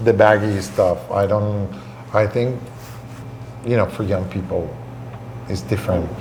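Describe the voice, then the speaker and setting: Over noticeable background noise and audible room echo, a man with a fairly low pitch talks at a fairly slow pace with ordinary pitch variation and long, frequent pauses. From Venezuela. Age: 60s. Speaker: restaurateur. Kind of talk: interview. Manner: halting.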